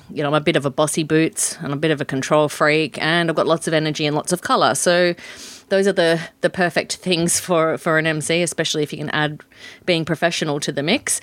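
A woman with an Australian accent, very deep and low in pitch, fairly even in intonation, at a very fast pace, on a very clean recording with a silent background. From Western Australia. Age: 50s. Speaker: professional MC and facilitator. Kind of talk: interview.

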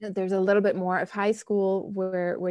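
A woman speaks at a medium pitch with a dark, mellow tone. The recording is very clean, with a silent background. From Germany, Bonn. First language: German. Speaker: professor. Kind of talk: interview.

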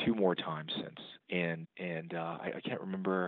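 In a Texan accent, a man with a very deep, low pitch talks at a moderate pace. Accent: Texan American. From Texas, San Antonio. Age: 40s. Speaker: bankruptcy attorney. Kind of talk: interview. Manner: hesitant, many fillers.

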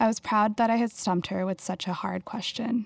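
The recording is very clean, with a silent background. A woman talks in a plain, everyday voice at a fairly quick pace, with ordinary pitch variation. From Houston, Texas. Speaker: writer and artist. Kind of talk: reading aloud.

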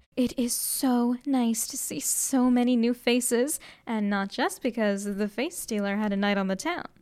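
A woman's high-pitched, theatrical and playful voice on a very clean recording with a silent background. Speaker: college radio host playing a vampire student. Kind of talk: dramatic narration. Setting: radio broadcast. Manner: theatrical, playful, animated; dramatic, storyteller delivery with comic asides.

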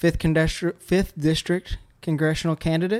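A man speaks with a Louisiana accent. His pitch is fairly high. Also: dry, close sound with no echo. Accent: Louisiana Southern. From central Louisiana. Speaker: podcast host. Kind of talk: interview. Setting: barbershop. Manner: halting.

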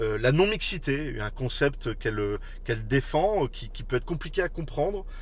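A man talks at a moderate speed, and the room gives off an audible echo. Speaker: podcast host. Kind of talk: casual interview. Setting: in a car, live on social media.

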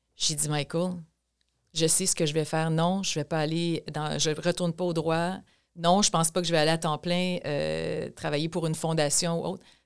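A woman speaks at a fairly low pitch in a flat monotone, on a very clean recording with a silent background. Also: moderate pace. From Quebec, Chaudière-Appalaches (Thetford Mines). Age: 50s. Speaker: provincial politician. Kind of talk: interview.

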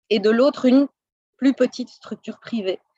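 Her pitch high and her intonation fairly even, a woman speaks in a dry, close sound with no echo. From Belgium, Brussels. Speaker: French teacher. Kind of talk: interview. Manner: halting.

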